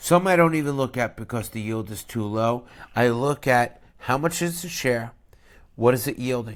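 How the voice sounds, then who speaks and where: A man speaks with a New York accent on a very clean recording with a silent background. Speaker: finance YouTuber, dividend investor. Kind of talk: investment review monologue. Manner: deliberately slow; blunt, conversational.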